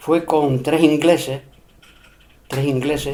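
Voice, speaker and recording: The man speaks at a fairly high pitch. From Spain, Extremadura (Cáceres, Peraleda area). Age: 70s. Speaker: elderly interviewee recalling local history. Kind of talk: oral history interview. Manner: hesitant, with fillers and repetitions.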